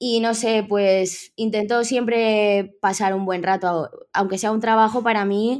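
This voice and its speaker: A woman talks very slowly yet with hardly any pauses, her fairly high pitch held in monotone, flat intonation, in a very clean recording with a silent background. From Spain, Villarreal (Valencian Community). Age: 20s. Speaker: tattoo artist. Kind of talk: interview.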